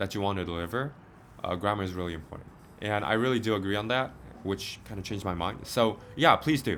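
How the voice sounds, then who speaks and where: A man with a Korean accent speaks very fast at a fairly low pitch. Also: ordinary pitch variation. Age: 20s. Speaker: medical student and vlogger. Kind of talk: casual Q&A chat. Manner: halting.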